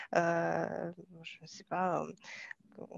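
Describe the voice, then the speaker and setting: A woman's voice has a dry, close sound with no echo. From Kazakhstan. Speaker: software developer, former translator. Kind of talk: interview testimony. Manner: halting, many hesitations.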